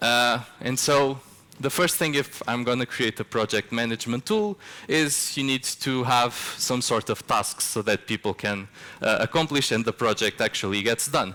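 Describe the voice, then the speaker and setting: Speaking with a Portuguese accent, a man has a bright, sharp tone at medium pitch, a moderate pace, very even loudness and ordinary pitch variation. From Portugal. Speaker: software developer, conference speaker. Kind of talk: conference talk. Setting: stage with audience. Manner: casual, with frequent filler words.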